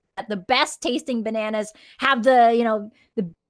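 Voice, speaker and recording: On a very clean recording with a silent background, a woman speaks at a fairly slow pace in a Filipino accent. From Philippines. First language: Tagalog. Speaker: podcast co-host. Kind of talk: casual chat. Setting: live stream.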